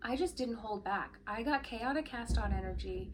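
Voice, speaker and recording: A woman talks at a moderate pace while noticeable background noise carries on underneath. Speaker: yarn shop owner and knitwear designer podcaster. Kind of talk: casual podcast monologue.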